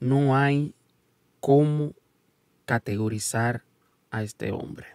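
Over a quiet background, a man speaks at a very slow pace. His pitch varies in an ordinary way, and the sound is dry with no echo. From United States, Dominican parents. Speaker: YouTube sports commentator. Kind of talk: casual video commentary. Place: studio. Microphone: studio mic.

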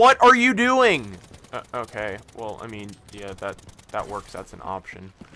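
Speaking at a fairly slow pace with big swings in loudness, a man is heard over noticeable background noise. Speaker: gaming commentator. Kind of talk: angry gaming rant, profanity-laden commentary. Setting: gameplay commentary recorded over video game. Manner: loud, exasperated, sweary, ranting.

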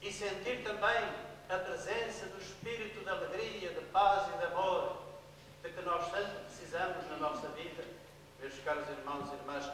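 A man raises and projects his voice at a fairly slow pace amid strong room echo and light background noise. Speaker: priest. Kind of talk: sermon. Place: church.

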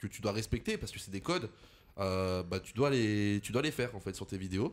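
A man at fairly low pitch, an unremarkable speaking voice with ordinary pitch variation and a moderate pace. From France, Lyon. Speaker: content creator. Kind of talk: casual chat.

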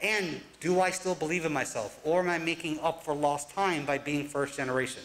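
Fairly high in pitch, a man talks at a fairly quick pace in an American accent. His intonation is fairly even and his loudness very even. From New Jersey, US (Newark); New Jersey. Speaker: college advisor and professor; professor. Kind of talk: live talk presentation. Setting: stage with audience. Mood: reflective, earnest. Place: stage.

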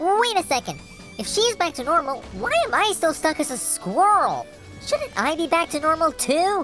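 Someone performs a put-on character voice while clear music plays in the background. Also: moderate pace. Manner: cocky, teasing.

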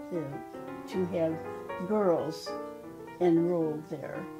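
Clear music runs beneath the recording. The voice is a woman's. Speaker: retired high school alumna. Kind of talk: interview answer. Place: home room. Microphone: lapel.

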